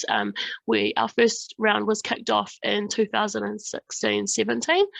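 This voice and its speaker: With a New Zealand accent, a woman talks at a moderate pace. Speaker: government research fund staff presenter. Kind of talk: online workshop presentation. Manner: hesitant, many fillers.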